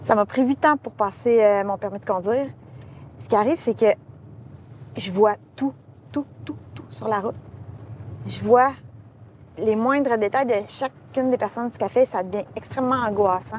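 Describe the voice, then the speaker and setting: A woman with a Quebec accent speaks at a fairly high pitch and a moderate pace. Her pauses are long and frequent. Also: ordinary pitch variation, big swings in loudness. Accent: Québécois French. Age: 40s. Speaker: graphic designer and TikTok creator. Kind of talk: casual interview. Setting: in a car.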